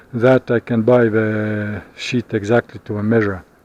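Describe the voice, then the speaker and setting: Against noticeable background noise, a man with a non-native accent talks at a fairly slow pace. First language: not English. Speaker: vlogger. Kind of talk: casual vlog monologue. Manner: halting, many fillers.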